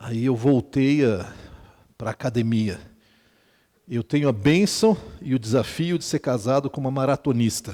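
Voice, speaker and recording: A man with a medium pitch and a dark, mellow tone talks at a fairly slow pace. His intonation is lively, and he takes long, frequent pauses. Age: 60s. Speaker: pastor. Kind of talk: sermon. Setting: retreat with audience. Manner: conversational, humorous asides.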